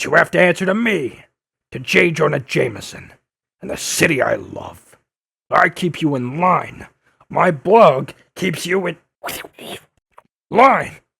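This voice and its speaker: Using a put-on character voice, a man speaks in a high pitch with long, frequent pauses. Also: fairly slow pace. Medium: audio drama. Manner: brusque, aggressive.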